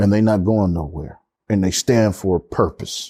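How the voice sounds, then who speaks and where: A man's fairly low, dark and mellow voice at a very slow pace, dry and close with no echo. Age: 60s. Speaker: former college football player. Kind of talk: casual chat. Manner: repetitive stammering starts.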